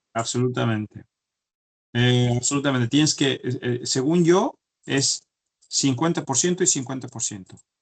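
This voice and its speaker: At a moderate pace, a man speaks with a medium pitch and ordinary pitch variation, leaving long, frequent pauses. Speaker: chemical engineer. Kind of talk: interview. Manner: halting, many repetitions.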